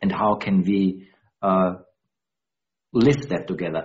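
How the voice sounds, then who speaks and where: A man with a German accent at a moderate pace. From Austria. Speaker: dialogue practitioner. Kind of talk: interview. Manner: halting.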